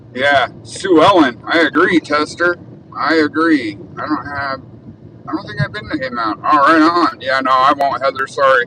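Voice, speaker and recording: Over noticeable background noise, a man with an American accent talks at a moderate pace in a fairly high pitch with ordinary pitch variation. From Arizona, Tucson. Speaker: live streamer. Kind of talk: casual live stream while driving. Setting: in a car.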